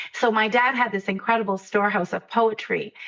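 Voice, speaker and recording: The woman's fairly quick speech plays over noticeable background noise. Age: 60s. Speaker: poet and children's author. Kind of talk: interview conversation.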